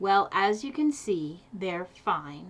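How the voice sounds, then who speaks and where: A woman is doing a put-on character voice. Her pitch sits in the medium range. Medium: read story. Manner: stern, unwelcoming.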